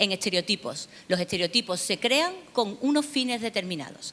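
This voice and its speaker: With an Andalusian accent, a woman talks at a fairly slow pace with very wide pitch swings. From Seville, southern Spain. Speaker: academic researcher on migration. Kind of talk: conference lecture. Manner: hesitant, many fillers.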